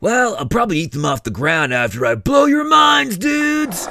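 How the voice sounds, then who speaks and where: Using a put-on character voice, a man speaks high at a moderate pace. Light background noise is present. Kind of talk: comic overacting. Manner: laid-back surfer-dude slang, mellow.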